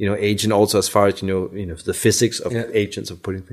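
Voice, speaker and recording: Here is a man with a fairly low pitch. He speaks at a fairly quick pace. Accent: Danish. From Denmark. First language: Danish. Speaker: car designer. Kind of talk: interview.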